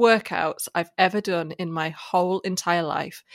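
Recorded dry and close with no echo, a woman talks with ordinary pitch variation. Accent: English. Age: 30s. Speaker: podcast co-host. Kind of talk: casual chat.

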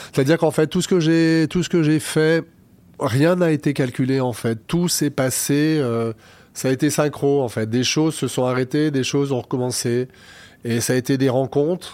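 A plain, everyday voice at a moderate pace with ordinary pitch variation. Loudness stays very even, and the recording is very clean with a silent background. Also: man, fairly high pitch for a man. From France, Lyon. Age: 50s. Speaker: party organizer and cabaret owner. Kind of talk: interview.

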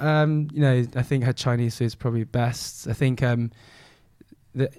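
Speaking in a London accent, a man has a medium pitch, a dark, mellow tone, fairly even intonation and a moderate pace. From southwest London. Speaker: food and travel influencer. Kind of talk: casual chat.

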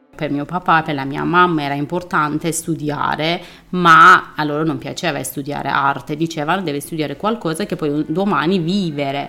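Her voice is very deep and low for a woman, yet bright and sharp in tone. She keeps a moderate pace with fairly even intonation. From Iran. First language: Persian (speaking Italian). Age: 30s. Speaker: artist. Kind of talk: interview testimony.

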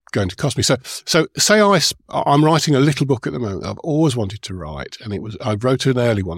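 On a very clean recording with a silent background and a dry, close sound with no echo, a man talks at a very fast pace in a somewhat breathy voice. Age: 60s. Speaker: event organiser and author. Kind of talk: interview conversation. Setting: live event recording.

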